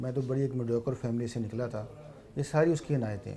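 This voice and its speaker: A man's plain, everyday voice at medium pitch, moderate pace and ordinary pitch variation. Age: 60s. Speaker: businessman. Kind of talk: interview.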